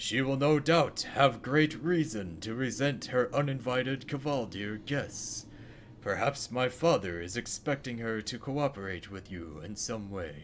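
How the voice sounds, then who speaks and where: A man puts on a character voice at a medium pitch and a moderate pace, with clear background noise behind him. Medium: game stream. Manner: solemn, earnest.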